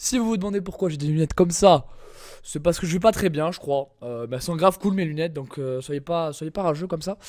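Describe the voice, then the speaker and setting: On a very clean recording with a silent background, a man with a high pitch and ordinary pitch variation speaks at a fairly quick pace. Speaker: gaming youtuber. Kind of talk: gameplay commentary. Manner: casual, hesitant with many fillers.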